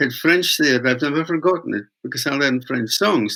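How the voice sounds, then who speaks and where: Speaking with a Scottish accent, a man uses a bright, sharp tone at a fairly high pitch with ordinary pitch variation. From Scotland. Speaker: traditional weaver and folk singer. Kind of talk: interview storytelling. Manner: halting.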